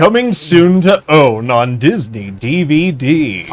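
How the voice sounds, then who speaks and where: A man's put-on character voice, fairly high and fairly slow, with very wide pitch swings. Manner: dramatic announcer delivery.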